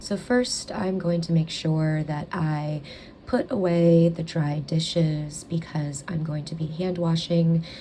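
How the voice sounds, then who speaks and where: In an ordinary speaking voice, a woman talks at a fairly slow pace with fairly even intonation and a fairly low pitch. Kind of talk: ASMR talking vlog, calm narration of housework. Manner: calm, soft, relaxing.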